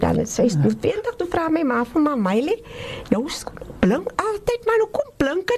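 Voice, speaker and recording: A woman's pitch swings very widely as she talks at a moderate pace, with noticeable background noise around her. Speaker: researcher and playwright. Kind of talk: radio interview.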